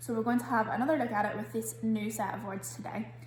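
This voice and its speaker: A woman with a Scottish accent speaks amid audible room echo. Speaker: primary school teacher. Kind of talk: online spelling lesson. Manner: clear, deliberate enunciation.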